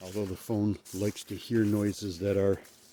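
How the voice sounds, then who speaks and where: A man with a fairly low, breathy voice speaks at a moderate pace. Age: 60s. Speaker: outdoor paranormal vlogger. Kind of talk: casual vlog monologue. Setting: outdoors at night in woods. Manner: breathy, audible breathing.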